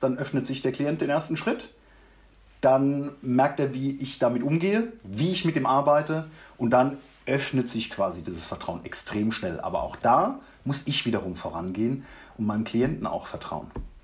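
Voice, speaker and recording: The voice is somewhat breathy, with lively intonation at a moderate pace. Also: man, medium pitch for a man. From Mannheim, Germany. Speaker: leadership coach. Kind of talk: interview, personal story.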